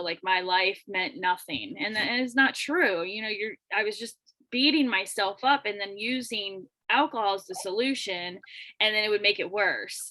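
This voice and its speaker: Her pitch varies in an ordinary way as a woman speaks with a Florida accent. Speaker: podcast host. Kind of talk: casual interview.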